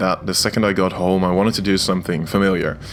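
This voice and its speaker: Over music in the background, a man with a Dutch accent speaks at a fairly quick pace and a fairly low pitch. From Netherlands. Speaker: gaming YouTuber. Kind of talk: gameplay commentary. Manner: hesitant, many filler words.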